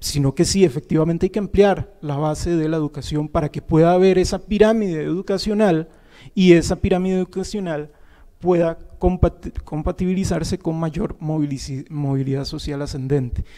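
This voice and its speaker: Against a quiet background, a man with a high pitch speaks at a moderate pace. His dark, mellow tone carries ordinary pitch variation. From Costa Rica. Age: 30s. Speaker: university professor. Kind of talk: panel talk. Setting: auditorium with audience. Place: classroom. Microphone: handheld.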